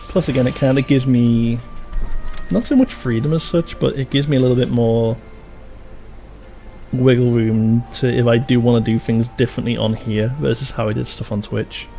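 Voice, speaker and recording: With music in the background, a speaker with a Liverpool accent talks at a moderate pace in a relaxed tone, with fairly even intonation and long, frequent pauses. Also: man, medium pitch for a man. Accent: close to Scouse, Liverpool-area. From Merseyside, near Liverpool (Wirral). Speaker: video game streamer. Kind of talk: live stream commentary. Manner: relaxed, many fillers.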